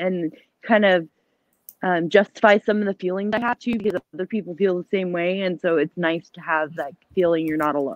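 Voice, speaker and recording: A woman with a plain, everyday voice speaks at a fairly quick pace and medium pitch. Her pitch varies in an ordinary way, and the sound is dry and close with no echo. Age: 30s. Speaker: live streamer. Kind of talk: casual chat. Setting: live stream.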